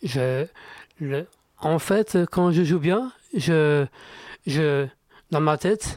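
A man with a fairly high voice talks very slowly. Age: 30s. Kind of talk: radio interview. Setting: radio studio. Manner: halting, repetitive.

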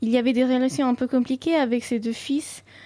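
Her voice is high in pitch for a woman, with a dark, mellow tone. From Dubai, Indian family from north India. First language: Sindhi (speaking French). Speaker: student and cultural ambassador. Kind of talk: radio interview.

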